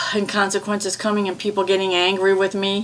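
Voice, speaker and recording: Noticeable background noise sits behind a woman's voice. She speaks at a fairly quick pace and medium pitch with a slight Midwestern accent. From US Midwest. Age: 70s. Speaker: EFT tapping practitioner. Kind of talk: guided tapping session.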